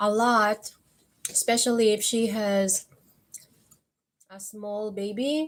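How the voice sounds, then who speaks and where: A woman with a Filipino accent, fairly high-pitched, with fairly even intonation and a very slow pace. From Philippines. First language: Filipino (Tagalog). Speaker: vlogger. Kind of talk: live stream chat with viewers. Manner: casual, conversational.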